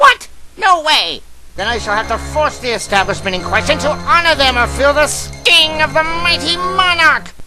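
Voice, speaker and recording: A man speaks at a moderate pace in a cartoonish character voice, raised and projected, over clear background noise. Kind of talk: cartoon parody voices. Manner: theatrical, irritable.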